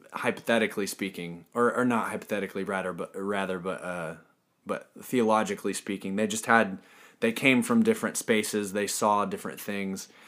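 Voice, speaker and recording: A man with an unremarkable speaking voice, fairly low in pitch, with an American accent, fairly even intonation and a fairly quick pace, on a very clean recording with a silent background. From US, military family (born Fort Bragg, North Carolina). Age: 30s. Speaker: metal band bassist. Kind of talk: casual interview.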